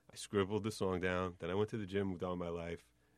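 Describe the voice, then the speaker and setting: A very fast-paced man's voice over a quiet background. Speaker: lawyer and rapper.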